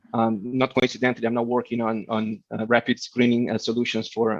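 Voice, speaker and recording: With a Portuguese accent, a man speaks in a monotone, flat intonation, the sound dry and close with no echo against a quiet background. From Brazil, Rio de Janeiro. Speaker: keynote speaker, tech executive. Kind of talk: keynote talk. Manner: fast.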